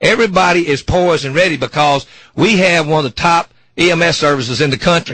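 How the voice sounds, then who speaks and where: A man with a Memphis accent talks at a fairly quick pace. His voice is high, with ordinary pitch variation. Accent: US South (Memphis). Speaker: firefighters union president. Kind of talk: radio interview. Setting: radio studio. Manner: fast; halting, repeats words.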